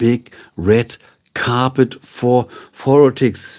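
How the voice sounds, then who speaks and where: In a German accent, a man speaks at a medium pitch. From northern Germany. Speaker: streamer and voiceover artist. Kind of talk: casual live stream chat. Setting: live stream. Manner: relaxed.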